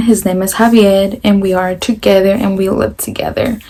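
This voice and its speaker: With an American accent, a woman speaks at a moderate pace and with fairly even intonation over noticeable background noise. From US Pacific Northwest, Pasco, Washington. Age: 20s. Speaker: vlogger, stay-at-home mom. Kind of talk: casual Q&A vlog.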